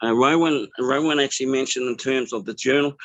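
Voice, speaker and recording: With a New Zealand accent, a man talks at a fairly quick pace, his medium pitch held in fairly even intonation. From New Zealand (Māori). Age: 60s. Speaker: business networker sharing testimony. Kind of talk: testimony. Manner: halting, many fillers.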